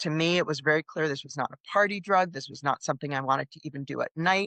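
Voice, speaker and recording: A woman with an American accent speaks with a very deep, low pitch and a bright, sharp tone. Her intonation is fairly even, heard in a dry, close sound with no echo against a quiet background. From US Northeast. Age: 60s. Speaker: psychotherapist. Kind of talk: interview.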